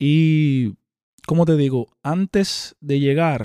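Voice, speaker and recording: On a very clean recording with a silent background and a dry, close sound with no echo, a man with a fairly high pitch speaks in a dark, mellow tone with fairly even intonation. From Dominican Republic. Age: 30s. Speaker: rapper. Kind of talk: interview.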